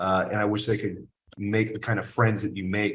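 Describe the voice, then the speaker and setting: A man's somewhat breathy, fairly low voice in a flat monotone. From US South, military bases incl. Biloxi. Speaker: cigar company owner. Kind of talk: casual chat.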